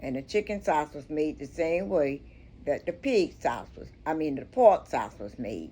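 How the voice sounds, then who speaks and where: Very deep and low, a woman's dark, mellow voice with vocal fry swings very widely in pitch at a fairly slow pace. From Miami, of Bahamian descent. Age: 80s+. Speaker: historian. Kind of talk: interview answer.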